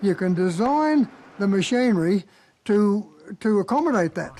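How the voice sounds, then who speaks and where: With a high pitch, a dark, mellow tone and lively intonation, a man talks in an Australian accent. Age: 80s+. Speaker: sawmiller. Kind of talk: interview. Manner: halting.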